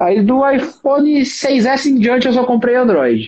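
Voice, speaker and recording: A man is talking. He has a high-pitched voice. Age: 20s. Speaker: lawyer and tech youtuber. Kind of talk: casual chat. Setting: live stream.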